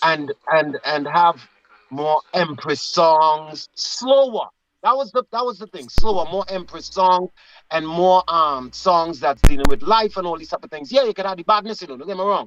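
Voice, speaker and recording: With lively intonation and big swings in loudness, a man talks at a moderate pace in a high pitch, the sound dry and close with no echo. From Trinidad. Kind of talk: casual chat.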